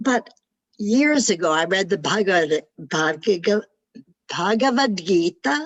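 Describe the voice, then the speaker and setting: At a fairly slow pace, a woman with a medium pitch makes very wide pitch swings. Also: very even loudness. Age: 90s. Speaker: participant. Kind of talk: casual chat.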